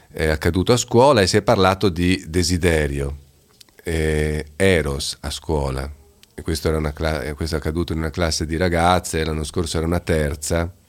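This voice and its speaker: A very deep, low-pitched male voice at a moderate pace over noticeable background noise. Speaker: teacher. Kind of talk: casual radio conversation. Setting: studio.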